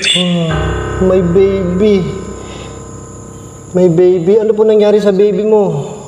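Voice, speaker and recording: Music plays behind a man speaking at a high pitch with ordinary pitch variation. Audible room echo surrounds his voice. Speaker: paranormal mukbang vlogger. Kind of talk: solo ghost-hunting vlog with eating. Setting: inside a dark church. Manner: loud.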